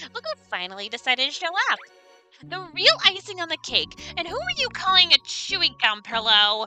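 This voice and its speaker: In a put-on character voice, the speaker goes at a fairly quick pace with an extremely high, nasal, wheezy sound and very wide pitch swings, with faint music in the background. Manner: obnoxious, campy.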